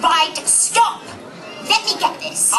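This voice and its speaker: Against clear background noise, a woman uses a put-on character voice at an extremely high pitch. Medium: stage play. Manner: indignant, prim.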